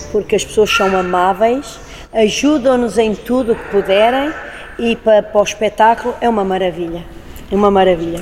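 A woman talks at a moderate pace in a fairly high pitch, her pitch varying in an ordinary way while noticeable background noise sits behind her. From Portugal, Lisbon. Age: 50s. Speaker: circus artist. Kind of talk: interview.

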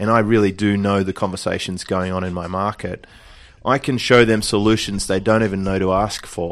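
A man with an Australian accent and a fairly low pitch speaks at a fairly quick pace. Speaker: online business coach. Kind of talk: interview. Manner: relaxed.

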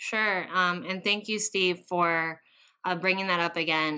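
Her tone bright and sharp, a woman speaks at a fairly slow pace with fairly even intonation. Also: very clean recording, silent background. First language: Spanish. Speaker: education policy advocate, former bilingual teacher. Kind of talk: interview conversation.

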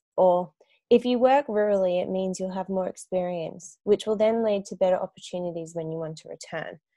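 A woman with an Australian accent and a dark, mellow tone, fairly quick, with big swings in loudness and ordinary pitch variation. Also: medium pitch for a woman, dry, close sound with no echo. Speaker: podcast host, speech pathologist. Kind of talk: scripted intro; casual interview.

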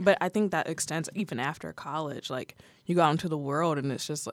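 A woman's very deep, low voice with vocal fry and an American accent, at a fairly quick pace, on a very clean recording with a silent background. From Ohio, US Midwest (Toledo area). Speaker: college student, student journalist. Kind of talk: casual interview.

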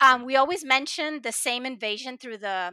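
A woman's high-pitched, raised and projected voice, bright and sharp, with lively intonation, in a dry, close sound with no echo on a very clean recording with a silent background. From Puerto Rico. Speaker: novelist. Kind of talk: interview.

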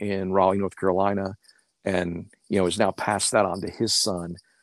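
Monotone and flat, a man with an American accent speaks at a fairly low pitch and moderate pace. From Oklahoma. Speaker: history professor. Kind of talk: casual chat. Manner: halting, many repeated words.

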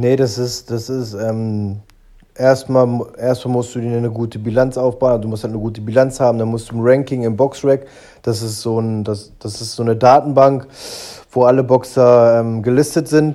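This man has a dark, mellow tone and a medium pitch. He talks at a moderate pace with monotone, flat intonation. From Germany, Braunschweig. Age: 30s. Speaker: professional boxer. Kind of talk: interview.

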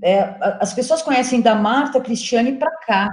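A woman speaks in a somewhat breathy voice. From São Paulo, Brazil. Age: 40s. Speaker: journalist and curator. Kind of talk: interview.

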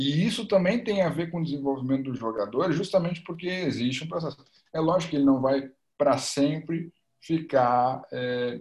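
A man's unremarkable speaking voice, fairly high in pitch, with lively intonation. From Porto Alegre, Rio Grande do Sul, Brazil. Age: 20s. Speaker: football coach and master's student. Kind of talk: casual interview chat.

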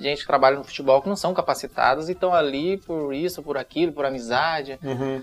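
This man talks at a very fast pace. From northern Paraná, Brazil. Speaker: retired footballer. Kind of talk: casual interview.

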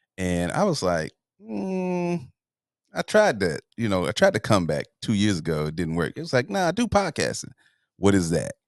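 A man with an American accent speaks at a moderate pace, the sound dry and close with no echo over a quiet background. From US South, Atlanta, Georgia. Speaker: content creator and podcast host. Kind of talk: casual interview chat. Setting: studio.

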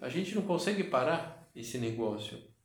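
With lively intonation and audible room echo, a man talks at a fairly slow pace. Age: 50s. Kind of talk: guided meditation. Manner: halting.

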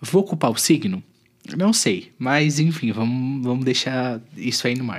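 A man speaks at a fairly slow pace in an unremarkable speaking voice, medium in pitch, with lively intonation. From southern Brazil, Santa Catarina (Tubarão). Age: 20s. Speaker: podcast host. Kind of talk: casual monologue.

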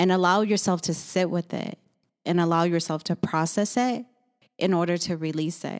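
A woman speaks in a calm tone at a moderate pace, her pitch fairly low and her intonation fairly even. The recording is very clean, with a silent background. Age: 40s. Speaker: esthetician and business owner. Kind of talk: casual chat.

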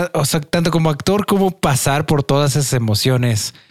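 With an ordinary speaking voice, a man talks at a moderate pace with a fairly high pitch and ordinary pitch variation, recorded dry and close with no echo. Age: 20s. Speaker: podcast host. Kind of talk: casual chat.

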